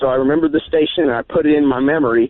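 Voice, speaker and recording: A man talks at a very fast pace. His voice sounds shaky. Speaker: caller. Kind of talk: phone-in call.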